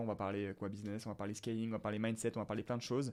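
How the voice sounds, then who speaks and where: A man speaks with fairly even intonation on a very clean recording with a silent background. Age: 20s. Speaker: entrepreneur, business content creator. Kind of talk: solo podcast monologue. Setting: alone in front of camera. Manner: hesitant, many fillers; casual, unscripted.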